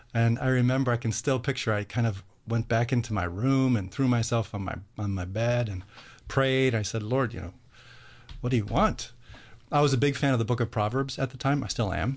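Against a quiet background, a man with an American accent speaks fairly quickly at medium pitch, somewhat breathy, with ordinary pitch variation. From US Midwest, Cleveland. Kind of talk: radio interview.

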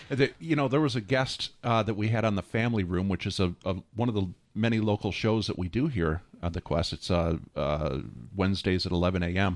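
Over a quiet background, a man with a plain, everyday voice speaks fairly low and at a fairly quick pace. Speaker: radio station pledge drive host. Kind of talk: radio pledge drive announcing. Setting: radio studio. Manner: cheerful, laughs often.

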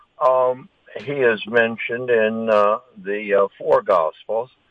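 This man talks at a very slow pace. Each word comes out very slowly. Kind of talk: interview. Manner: halting, many fillers.

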